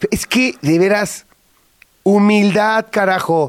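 A man is speaking here. His tone is animated. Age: 50s. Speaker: radio host. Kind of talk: casual chat.

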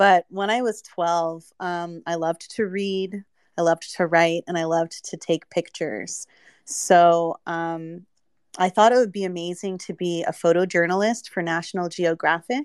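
A woman with an ordinary speaking voice, fairly low pitch, ordinary pitch variation, a moderate pace, and a dry, close sound with no echo. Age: 30s. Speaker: NFT project founder and artist. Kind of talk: casual interview. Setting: online audio space.

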